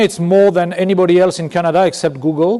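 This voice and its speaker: A man with a high voice and a slight French accent talks very fast over noticeable background noise. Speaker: business executive. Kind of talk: keynote speech. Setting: conference stage with audience. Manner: halting, with self-corrections.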